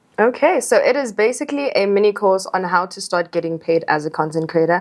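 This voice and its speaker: A woman with a South African accent talks at a very fast pace, her medium pitch carried by lively intonation. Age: 20s. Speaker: content creator. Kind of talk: podcast interview.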